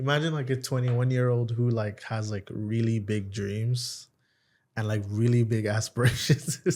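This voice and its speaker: Over a silent background in a very clean recording, a man with a medium-pitched, somewhat breathy voice talks at a moderate pace with fairly even intonation. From Nigeria. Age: 20s. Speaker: comedian and content creator. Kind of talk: casual interview chat.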